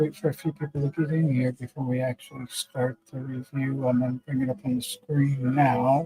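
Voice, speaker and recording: Delivered at a moderate pace with hardly any pauses, the speech has a monotone, flat intonation and a dry, close sound with no echo. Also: man, medium pitch for a man. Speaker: motorcycle builder and streamer. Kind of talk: casual live stream chat. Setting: live stream, remote with green screen. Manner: halting, many filler words.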